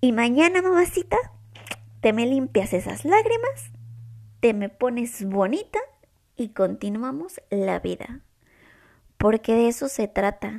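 Her voice is fairly high for a woman, with lively intonation. She speaks at a very slow pace, with long, frequent pauses. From Mexico. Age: 20s. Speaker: podcast host. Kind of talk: casual chat. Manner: serious, hesitant.

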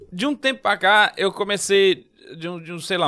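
Very wide pitch swings in a man's voice, music in the background. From São Paulo, Brazil, moved to Recife at 15. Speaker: comedian. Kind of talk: casual chat.

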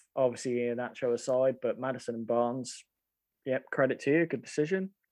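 A man's ordinary speaking voice at medium pitch, fairly quick pace and fairly even intonation, over a quiet background. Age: 30s. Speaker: fantasy football podcast co-host. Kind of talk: casual chat.

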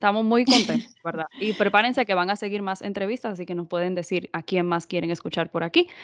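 A woman talks at a very fast pace with hardly any pauses, her medium-pitched voice animated and showing ordinary pitch variation. The sound is dry and close with no echo. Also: quiet background. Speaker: podcast host. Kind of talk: interview.

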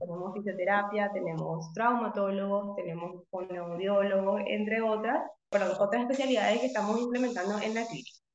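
A woman speaks fairly quickly at a medium pitch with ordinary variation and hardly any pauses. Audible echo fills the room. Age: 30s. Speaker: physiotherapist. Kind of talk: interview. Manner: halting.

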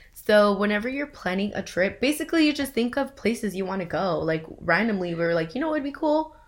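A woman talks at a very fast pace with hardly any pauses. Her medium-pitched voice swings very widely in pitch. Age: 20s. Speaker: podcast co-host. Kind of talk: casual chat. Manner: animated.

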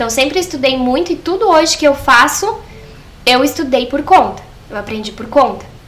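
A woman speaks at a moderate pace in a high voice, her intonation lively and her loudness swinging widely, with noticeable noise in the background. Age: 20s. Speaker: fashion designer and seamstress. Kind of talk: podcast interview.

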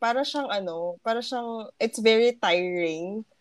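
A woman's plain, everyday voice, fairly high in pitch, with lively intonation at a fairly slow pace, in a dry, close sound with no echo. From Philippines, Pasig. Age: 20s. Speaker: podcast co-host.

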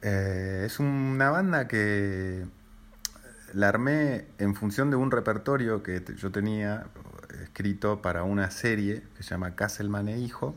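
At a very slow pace, a man with a Rioplatense accent speaks in a fairly low pitch with ordinary pitch variation. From Buenos Aires, Argentina. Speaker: jazz pianist and composer. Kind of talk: interview. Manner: halting, many fillers and repetitions.

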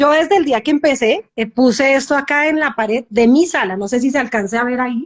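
This woman talks at a fairly quick pace in a high pitch. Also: ordinary pitch variation. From Colombia. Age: 40s. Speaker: cosmetologist sharing recovery story. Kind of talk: testimony. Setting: live Instagram video call.

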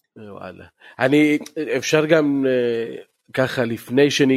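In a very clean recording with a silent background, a man talks at a fairly slow pace. His pitch is medium, with ordinary variation. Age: 40s. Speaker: podcast host, football ultras fan. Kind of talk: casual chat.

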